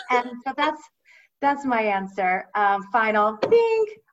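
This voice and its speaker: Woman with an American accent, very wide pitch swings and a fairly slow pace. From Ohio, US Midwest. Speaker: finance professional, former musical theater performer. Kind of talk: casual interview.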